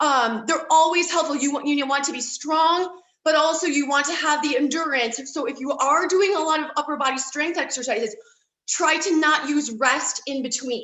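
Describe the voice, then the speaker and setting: A woman with a high pitch, speaking at a moderate pace. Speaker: fitness coach. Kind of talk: exercise tutorial.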